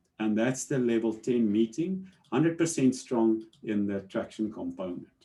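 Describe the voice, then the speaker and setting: A man speaks at a moderate pace in a dark, mellow tone, his pitch swinging very widely. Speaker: business presenter explaining a management model. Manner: hesitant, many fillers and repeated words.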